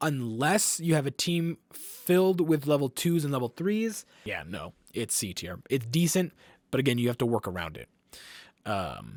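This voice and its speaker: A man's voice with very wide pitch swings, dry and close with no echo. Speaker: gaming content creator. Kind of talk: casual gameplay commentary. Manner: filler-heavy, repeats words.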